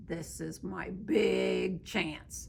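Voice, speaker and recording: A woman uses a put-on character voice over clear background noise. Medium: read story. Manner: eager, naive.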